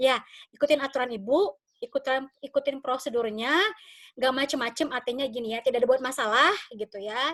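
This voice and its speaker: Dry and close with no echo, a woman's high-pitched voice moves at a fairly quick pace with ordinary pitch variation. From West Sumatra, Padang. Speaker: university lecturer. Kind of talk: online lecture. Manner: casual, friendly.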